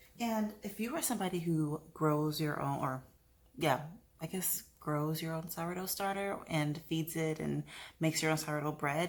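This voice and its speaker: A woman speaks quietly at a very deep, low pitch, on a very clean recording with a silent background. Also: ordinary pitch variation, moderate pace. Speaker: lifestyle vlogger and yoga instructor. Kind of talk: vlog narration. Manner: quiet, hushed; casual with fillers.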